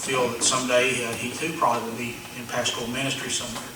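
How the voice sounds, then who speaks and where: Speaking at a fairly quick pace in a fairly high pitch, a man is heard over noticeable background noise with audible room echo. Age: 60s. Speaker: pastor. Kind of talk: sermon-style talk to ministers.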